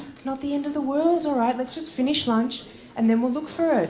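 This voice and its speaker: A woman's raised, projected voice at a fairly quick pace amid noticeable background noise. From Australia. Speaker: stand-up comedian. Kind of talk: stand-up comedy set.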